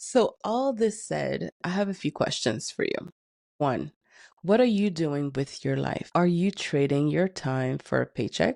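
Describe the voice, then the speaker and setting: A woman's dark, mellow voice at a very slow pace with very wide pitch swings, in a dry, close sound with no echo and a quiet background. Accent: French. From Canada, Haitian-Caribbean family. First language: French. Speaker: neuroscience educator. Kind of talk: motivational talk to camera. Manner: emphatic.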